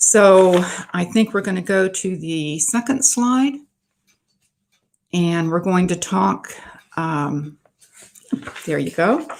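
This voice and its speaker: Lively in intonation, a woman speaks at a very slow pace with long, frequent pauses. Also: medium pitch for a woman. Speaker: author giving a library talk. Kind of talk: presentation to a writers' group. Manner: halting with fillers.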